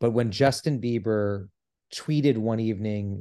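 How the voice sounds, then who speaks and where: A man talks in a normal speaking voice at a medium pitch with ordinary pitch variation. His pace is fairly slow, and the background is quiet. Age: 40s. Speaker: actor and celebrity impersonator. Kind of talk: casual chat.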